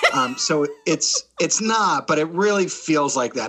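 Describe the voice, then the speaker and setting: Lively intonation from a man with an American accent, at a fairly slow pace. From southern New Jersey (Delaware Valley). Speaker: improv comedian and theatre executive. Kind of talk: podcast interview. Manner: casual, with many fillers.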